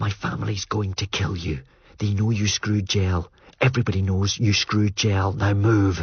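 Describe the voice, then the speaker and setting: A man's whispered, hissing put-on character voice at a moderate pace. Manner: hissed, urgent whisper.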